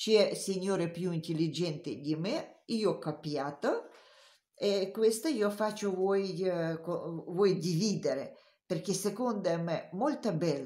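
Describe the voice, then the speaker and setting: A woman speaks very slowly at a medium pitch with lively intonation. Her tone is dark and mellow. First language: not Italian (speaking Italian). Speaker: knitting teacher. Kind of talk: tutorial. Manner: halting.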